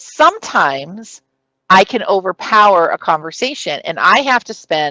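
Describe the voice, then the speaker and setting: A loud woman's voice with a bright, sharp tone and very wide pitch swings, the sound dry and close with no echo. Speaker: city clerk giving a conference training session. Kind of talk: conference presentation. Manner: loud, presentation-style projection.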